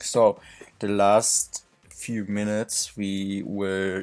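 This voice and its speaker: A man speaks in a fairly low voice with a German accent. Music plays in the background, and the sound is dry and close with no echo. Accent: non-native English, German. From Germany. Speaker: indie game developer. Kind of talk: tutorial dev log. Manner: halting.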